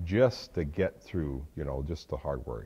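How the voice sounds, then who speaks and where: A man speaks, his pitch moving with ordinary variation. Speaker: interview guest. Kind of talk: interview answer. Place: hall. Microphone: lapel.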